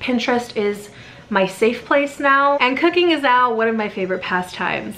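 Light background noise sits behind a woman speaking. She keeps a moderate pace with ordinary pitch variation. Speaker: cooking vlogger. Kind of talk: casual vlog chat. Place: kitchen.

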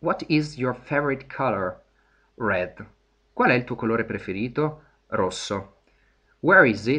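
A man's medium-pitched voice, bright and sharp in tone, with lively intonation, a fairly slow pace and long, frequent pauses against a quiet background. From Italy. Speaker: English teacher. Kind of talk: lecture. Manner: hesitant, many fillers.

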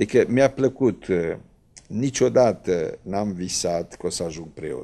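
The man's voice sits at a fairly low pitch and has a dark, mellow tone. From Romania, Drăgășani (Vâlcea); Romania. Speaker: Orthodox priest. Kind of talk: TV interview. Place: studio. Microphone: handheld.

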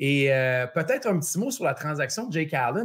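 Over a quiet background, a man talks at a very fast pace with a Quebec accent. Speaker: sports betting podcast host. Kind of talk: casual chat. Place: home room. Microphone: earbuds.

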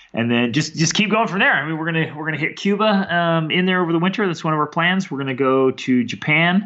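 This man speaks very fast at a fairly high pitch for a man, with ordinary pitch variation. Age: 30s. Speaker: world traveler and mentor. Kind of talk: casual interview. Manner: animated.

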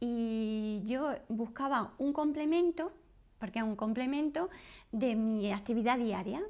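Against a quiet background, a woman speaks at a fairly slow pace in a dark, mellow tone, her fairly high pitch carried by lively intonation. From Spain, Granada (Andalusia); Andalusia, Spain. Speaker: course student, homemaker. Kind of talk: testimonial interview. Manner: halting. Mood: friendly, upbeat. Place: home room.

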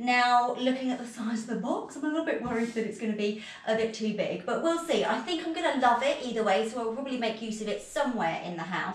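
The speech moves at a very fast pace with hardly any pauses and ordinary pitch variation. Room echo is audible. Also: woman. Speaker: home vlogger. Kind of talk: casual vlog chat. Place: empty room. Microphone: camera far.

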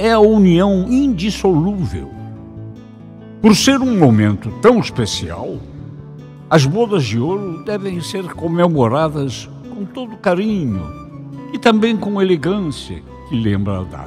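Over background music, a man with a high pitch talks at a very slow pace with long, frequent pauses, very wide pitch swings and big swings in loudness. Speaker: voice actor / radio announcer. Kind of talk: message narration for a golden wedding anniversary.

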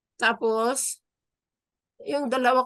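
A woman speaks against a quiet background. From Philippines, Isabela. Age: 60s. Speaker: new lawyer, local government employee. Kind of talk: interview.

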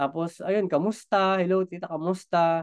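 A man is talking with little behind him but quiet. His pace is moderate. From Philippines. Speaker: business trainer. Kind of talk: online training session. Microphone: webcam.

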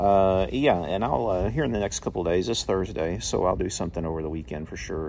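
Very deep and low, a man's voice races at a very fast pace with ordinary pitch variation over light background noise. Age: 40s. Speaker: YouTuber. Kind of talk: casual vlog. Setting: at home. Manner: hesitant, lots of fillers. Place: garden. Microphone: phone near.

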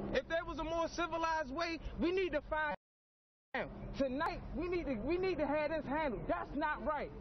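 With an extremely high pitch and ordinary pitch variation, a man speaks in a passionate tone at a moderate pace amid noticeable background noise. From Baltimore. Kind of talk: street interview reaction. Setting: outdoors. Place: garden. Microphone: phone near.

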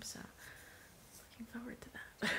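Loud background noise fills the recording as a woman speaks. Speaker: family vlogger. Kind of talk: casual vlog chat. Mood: relaxed, cheerful. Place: home room. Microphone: phone near.

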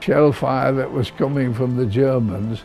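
A man's medium-pitched voice with ordinary pitch variation and faint music in the background. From Britain. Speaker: war veteran. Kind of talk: interview answer. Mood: solemn, emotional remembering. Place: home room. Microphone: lapel.

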